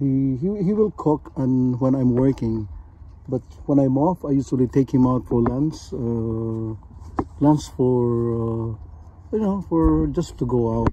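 Here a man talks at a very slow pace. Noticeable background noise sits behind a dry sound with no echo. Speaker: vlogger. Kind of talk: casual vlog chat. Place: car. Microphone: phone near.

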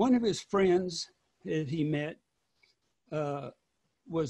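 A man speaks at a very slow pace. The background is quiet. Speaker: son of a war veteran and historian. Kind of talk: webinar presentation. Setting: video call. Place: home room. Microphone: video call.

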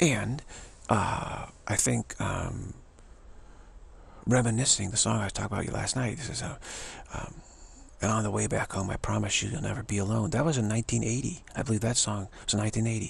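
The voice has vocal fry and moves at a fairly quick pace, broken by long, frequent pauses. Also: man, fairly low pitch for a man, fairly even intonation.

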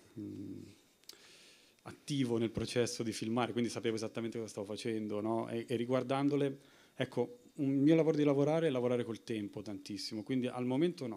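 At a moderate pace, a man speaks at medium pitch with a dark, mellow tone and ordinary pitch variation. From Italy. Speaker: film director; guest. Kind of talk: Q&A answers. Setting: stage with audience. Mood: reflective, calm. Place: hall.

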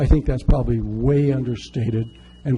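There's noticeable background noise as a man speaks at a medium pitch. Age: 60s. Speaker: public commenter at city council. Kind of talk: public testimony.

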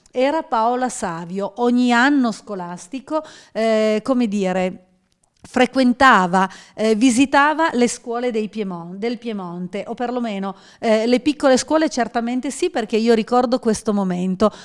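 Against a quiet background, a woman speaks in a normal speaking voice at a fairly slow pace, with a fairly high pitch and ordinary pitch variation. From mountain area of Piedmont, Italy. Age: 50s. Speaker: regional politician. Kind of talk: panel discussion. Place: office. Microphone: handheld.

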